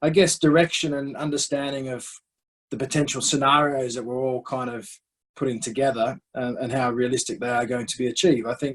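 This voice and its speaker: Speaking in an Australian accent, a man talks at a fairly quick pace. His medium-pitched voice keeps fairly even intonation. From Western Australia, Perth. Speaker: cricket director, former professional cricketer. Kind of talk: interview. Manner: halting, many repeated words.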